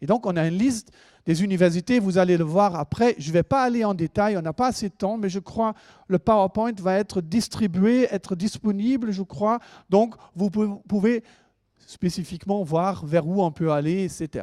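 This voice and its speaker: At a moderate pace, a man with a high pitch and a dark, mellow tone speaks with ordinary pitch variation, in a dry, close sound with no echo on a very clean recording with a silent background. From Germany. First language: German (speaking French). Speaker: university lecturer. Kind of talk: presentation to students. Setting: lecture hall with audience. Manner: hesitant, with fillers.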